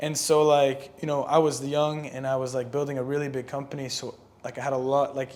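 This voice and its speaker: Against noticeable background noise, a man with a fairly high pitch talks at a fairly quick pace in a monotone, flat intonation. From Lebanon. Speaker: singer and entrepreneur. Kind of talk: podcast interview. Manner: casual, filler-heavy.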